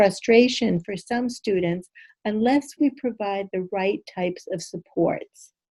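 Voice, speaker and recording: A woman with an American accent speaks fairly slowly at a medium pitch, her dark, mellow tone somewhat breathy, her pitch varying in an ordinary way over a quiet background. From Massachusetts, Boston area. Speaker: assistive technology consultant; presenter. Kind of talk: webinar presentation. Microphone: webcam.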